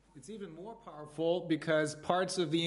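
In a room with audible echo, a man speaks at a moderate pace with fairly even intonation. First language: German. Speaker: trial lawyer, committee founder. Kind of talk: interview. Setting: livestream video call. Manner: halting.

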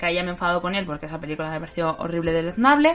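Her intonation lively, a woman speaks. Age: 30s. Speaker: film podcast host. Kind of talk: casual chat. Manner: halting.

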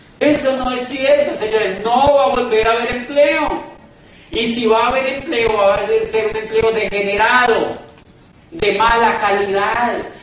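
Over noticeable background noise and audible room echo, a man with an extremely high pitch speaks at a fairly slow pace. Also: ordinary pitch variation. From Colombia. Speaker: motivational business speaker. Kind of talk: motivational talk. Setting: stage with audience. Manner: animated.

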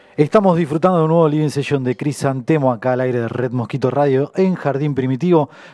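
A man's fairly high voice with a dark, mellow tone and ordinary pitch variation, at a very fast pace with hardly any pauses. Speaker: radio host. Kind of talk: radio show chat. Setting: radio studio.

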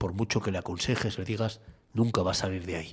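A man's fairly low, somewhat breathy voice at a moderate pace, with ordinary pitch variation, on a very clean recording with a silent background. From Asturias, Spain (Cudillero). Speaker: radio host. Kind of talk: opinion editorial and talk radio.

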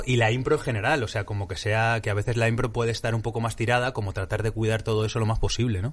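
A man talks at a very fast pace. His voice is somewhat breathy and sits at a medium pitch. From Madrid, Spain. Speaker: improv actor. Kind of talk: interview.

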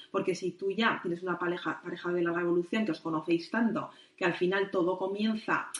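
Her pitch fairly low, a woman speaks at a fairly quick pace with fairly even intonation. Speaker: midwife and sexologist. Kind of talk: interview. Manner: fast.

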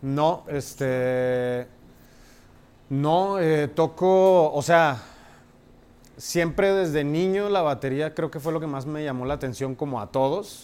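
Very slow and broken by long, frequent pauses, a man speaks in a fairly high voice. His pitch varies in an ordinary way. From Mexico, Monterrey. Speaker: jazz drummer. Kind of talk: casual interview chat. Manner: halting, many fillers.

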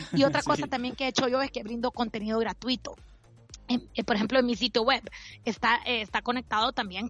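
A woman with a Honduran accent speaks at a fairly high pitch. Music plays in the background. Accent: Honduran Spanish with voseo. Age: 40s. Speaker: financial advisor. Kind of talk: interview.

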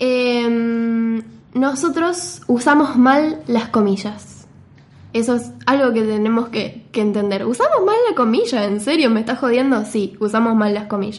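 A woman's fairly high voice with ordinary pitch variation at a fairly slow pace, with audible room echo. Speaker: podcast co-host, typography explainer. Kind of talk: casual chat.

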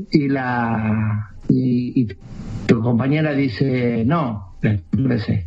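Noticeable background noise behind a man at medium pitch. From Jujuy, northern Argentina. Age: 50s. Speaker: traveler. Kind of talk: casual chat.

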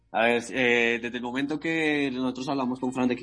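A man with a bright, sharp tone, fairly even intonation and a fairly quick pace. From Colombia, Bogotá. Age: 20s. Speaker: amateur MMA fighter. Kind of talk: interview. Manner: halting, repetitive.

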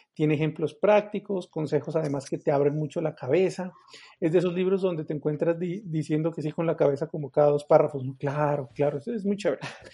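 A man talks at a very fast pace, his tone dark and mellow. His pitch is fairly high and his intonation fairly even. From Colombia, Pasto. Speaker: podcast co-host, magician and stand-up comedian. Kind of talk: casual chat about a book. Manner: halting, many repetitions.

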